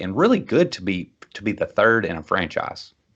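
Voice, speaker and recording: A man speaks at a moderate pace with a Kentucky accent. The background is quiet. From Kentucky, Bowling Green. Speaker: podcast host. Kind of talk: casual chat.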